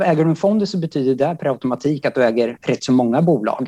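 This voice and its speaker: A man speaks with a dark, mellow tone at a fairly high pitch. His intonation is lively. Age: 30s. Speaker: high school teacher and author. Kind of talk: interview.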